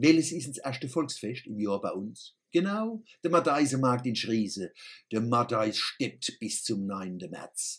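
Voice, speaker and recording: A man at medium pitch, very slow in pace, with lively intonation and big swings in loudness. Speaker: satirical columnist. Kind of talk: satirical monologue.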